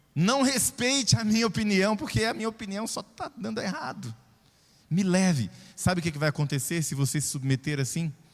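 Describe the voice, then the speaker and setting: A man talks in an animated tone. His pitch swings very widely. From Brazil, southern Pará and Belo Horizonte. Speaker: pastor. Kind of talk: sermon. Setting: church.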